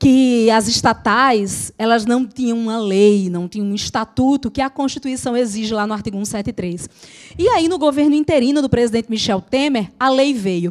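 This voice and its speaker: A moderate pace and animated tone with a Natal accent and ordinary pitch variation. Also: woman, fairly high pitch for a woman. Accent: Northeastern Brazilian (Natal). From Brazilian Northeast, Natal. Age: 40s. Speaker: law lecturer for civil service exams. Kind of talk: casual teaching chat.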